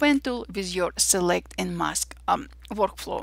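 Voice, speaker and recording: A very clean recording with a silent background, in an Armenian accent. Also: woman. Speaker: digital artist and photographer. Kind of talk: software tutorial.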